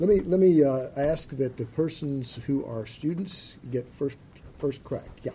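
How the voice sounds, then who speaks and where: Speaking at a fairly slow pace, a man with a fairly high pitch and a dark, mellow, somewhat breathy tone shows ordinary pitch variation. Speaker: center director and event moderator. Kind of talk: event introduction. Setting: stage with audience. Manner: halting, many fillers.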